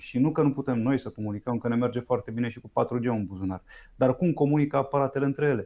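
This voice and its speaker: The man's voice has a dark, mellow tone. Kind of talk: interview.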